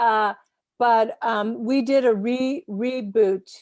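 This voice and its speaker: The woman's voice sits at a fairly high pitch. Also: dry, close sound with no echo, very clean recording, silent background. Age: 60s. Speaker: film festival interviewer, singer. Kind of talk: interview.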